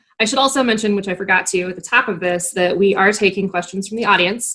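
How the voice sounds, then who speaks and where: A woman talks with an American accent. Her pitch is medium. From northeastern Wisconsin, US. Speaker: newspaper opinion editor, interviewer. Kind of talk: casual interview chat. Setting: video call.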